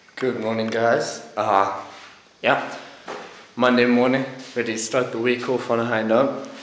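A man speaks at a fairly slow pace in monotone, flat intonation, with long, frequent pauses. Light background noise and audible room echo are present. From Zimbabwe. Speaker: vlogger. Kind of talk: casual vlog. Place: home room. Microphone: phone near.

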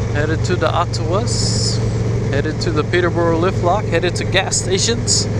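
A man's voice, dry and without echo, moves at a moderate pace through loud background noise. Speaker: motovlogger. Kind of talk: casual vlog chat. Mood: upbeat, amused. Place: motorbike.

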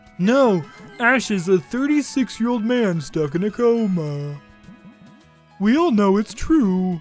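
A put-on character voice with fairly high pitch speaks at a very slow pace, with long, frequent pauses. Faint music plays behind it. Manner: dumb, insistent.

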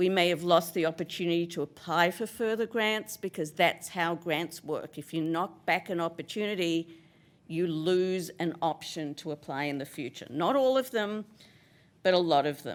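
On a very clean recording with a silent background, a woman speaks at a fairly low pitch and moderate pace with ordinary pitch variation. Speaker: resident speaking at public comment. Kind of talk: public comment at council meeting. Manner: loud; assertive.

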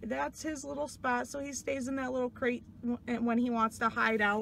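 The sound is dry with no echo. Light background noise can be heard. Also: woman. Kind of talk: casual vlog chat. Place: car. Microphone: phone near.

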